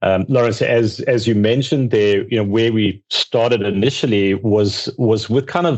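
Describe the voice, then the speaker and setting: This man speaks with a South African accent. His pace is moderate and his pitch medium. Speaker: accounting outsourcing firm founder. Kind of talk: podcast interview.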